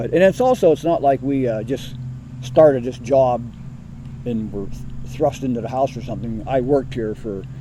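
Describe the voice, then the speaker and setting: Noticeable background noise accompanies a man who speaks at a moderate speed. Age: 60s. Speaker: cemetery superintendent. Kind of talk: interview.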